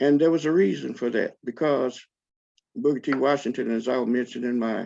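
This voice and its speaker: This man has a medium pitch and vocal fry. His intonation is lively. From Alabama. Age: 70s. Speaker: author and publisher. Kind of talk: lecture.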